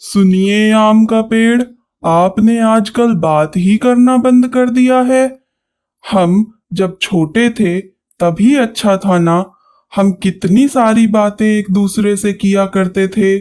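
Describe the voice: A cartoonish character voice, fairly high in pitch, at a very slow pace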